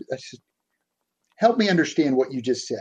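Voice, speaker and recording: A man with a Boston accent, fairly high in pitch with lively intonation. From South Boston, Massachusetts. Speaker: executive coach. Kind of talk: interview.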